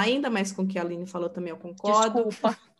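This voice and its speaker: A woman talks at a very fast pace. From Sorocaba, São Paulo state, Brazil. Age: 30s. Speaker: podcast host, bilingualism content creator. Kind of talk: casual chat.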